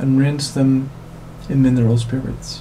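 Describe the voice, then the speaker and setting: A man's medium-pitched voice with a non-native accent, amid noticeable background noise. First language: not English. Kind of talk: tech tutorial voiceover.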